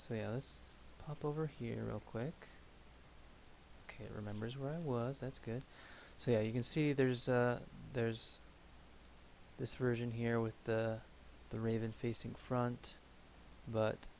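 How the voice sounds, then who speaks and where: Soft-spoken and at a medium pitch, a man talks at a fairly slow pace with fairly even intonation and long, frequent pauses. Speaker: miniature painting streamer. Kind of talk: casual live-stream commentary while painting. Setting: live stream at a hobby table. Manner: soft-spoken, quiet. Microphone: audio was too quiet last stream, settings changed.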